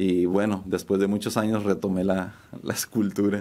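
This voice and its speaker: A man at a moderate pace. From Mexico City, raised in Tijuana. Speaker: painter and muralist; guest. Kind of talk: interview. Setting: studio. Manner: halting, many repetitions and fillers. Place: studio. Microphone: studio mic.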